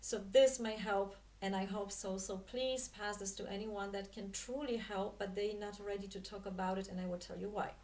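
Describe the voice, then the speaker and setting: With a Polish accent, a woman speaks at a medium pitch with fairly even intonation. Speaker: spiritual coach and dance teacher. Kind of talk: monologue talk to camera. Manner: halting, many fillers.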